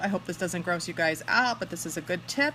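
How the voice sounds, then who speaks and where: A woman talks with very wide pitch swings while music plays in the background. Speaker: makeup consultant demonstrating products. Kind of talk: casual livestream makeup tutorial. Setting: Facebook live video at home.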